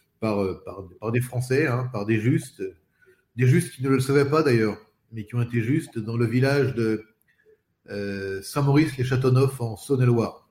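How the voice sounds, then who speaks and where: Somewhat breathy and medium-pitched, a man speaks with long, frequent pauses. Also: ordinary pitch variation, moderate pace. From Paris suburbs, France. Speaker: spokesperson. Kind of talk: interview. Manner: halting, repeats words.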